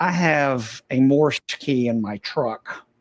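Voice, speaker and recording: A man of medium pitch speaks with a Southern US accent and ordinary pitch variation in a dry, close sound with no echo. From US South. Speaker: ham radio operator. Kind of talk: casual chat.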